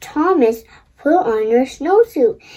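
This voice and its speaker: A woman puts on a character voice, pitched high with very wide swings up and down. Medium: read story.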